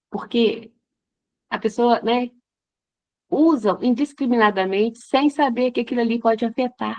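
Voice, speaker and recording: Her voice sits fairly high for a woman, with ordinary pitch variation. She speaks at a fairly slow pace. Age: 60s. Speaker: teacher, workshop participant. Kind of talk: audience question in online workshop. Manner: halting.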